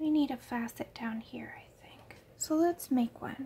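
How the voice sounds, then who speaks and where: A soft-spoken woman with a dark, mellow tone talks at a very slow pace with fairly even intonation. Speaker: artist and art tutor. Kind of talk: art tutorial instruction. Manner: mellow, soft-spoken.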